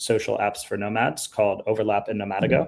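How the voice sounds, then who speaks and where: The man's New York accent comes through at a fairly quick pace. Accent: New York American. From US, New York. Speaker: startup founder and event co-organizer. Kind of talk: live webinar presentation. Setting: live stream.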